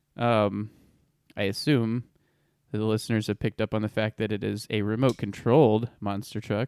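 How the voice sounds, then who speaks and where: A man speaks in a plain, everyday voice at a medium pitch. His pace is fairly quick, and the sound is dry and close with no echo. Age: 30s. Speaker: off-road podcast co-host. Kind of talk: casual chat.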